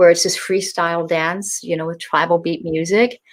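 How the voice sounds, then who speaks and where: A woman with a plain, everyday voice, medium pitch and moderate pace. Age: 60s. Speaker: author and tantric teacher. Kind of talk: interview.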